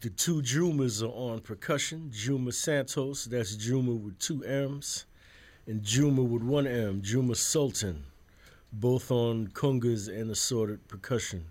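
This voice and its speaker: A man talks in a New York accent. He keeps a fairly slow pace. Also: medium pitch for a man, ordinary pitch variation, very clean recording, silent background. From Brooklyn, New York City. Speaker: jazz musician. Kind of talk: radio interview. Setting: radio studio.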